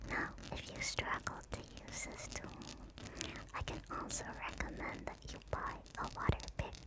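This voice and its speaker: A woman whispers at a fairly slow pace. Noticeable background noise is present. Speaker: ASMR artist / VTuber. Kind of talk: dentist roleplay ASMR. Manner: soft, whispering.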